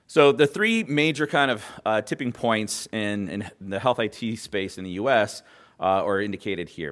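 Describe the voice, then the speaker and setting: Lively in intonation, a man with an American accent talks at a fairly low pitch. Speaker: government health IT advisor, conference speaker. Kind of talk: conference presentation. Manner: fast.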